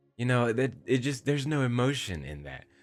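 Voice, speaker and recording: A man speaks at a moderate pace in a calm tone. Music can be heard in the background. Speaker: YouTuber talking about his voice. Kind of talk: casual vlog monologue. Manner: expressive, emotional.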